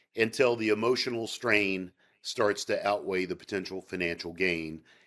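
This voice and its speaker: A man at a moderate pace, with a Southern US accent. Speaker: sales psychology expert. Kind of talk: interview.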